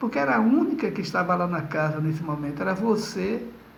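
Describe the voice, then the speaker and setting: A man speaks at a moderate pace with lively intonation. Room echo is audible. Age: 60s. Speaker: spiritist lecturer. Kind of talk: lecture; testimony.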